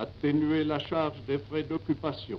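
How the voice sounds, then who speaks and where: Very slowly, a man speaks at a fairly high pitch with vocal fry. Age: 80s+. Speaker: head of state, military marshal. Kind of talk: radio address to the nation. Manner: lively.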